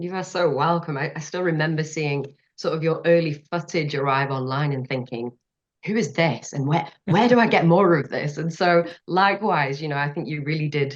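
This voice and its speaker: This woman's voice sits at a very deep, low pitch, moving at a moderate pace with ordinary pitch variation. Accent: British. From northern England. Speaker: marine scientist. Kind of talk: interview conversation.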